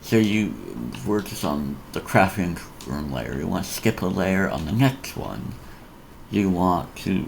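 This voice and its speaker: A man with a very deep, low voice and lively intonation speaks at a fairly slow pace amid noticeable background noise and audible room echo. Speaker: Minecraft tutorial youtuber. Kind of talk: tutorial. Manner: halting.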